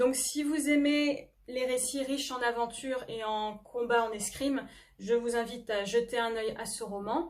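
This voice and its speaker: A woman's fairly high, fairly evenly intoned voice unfolds at a fairly slow pace. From France, Normandy (near Le Havre). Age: 20s. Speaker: novelist and history doctoral student. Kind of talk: book presentation to camera. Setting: self-recorded video. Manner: hesitant, frequent filler 'euh'.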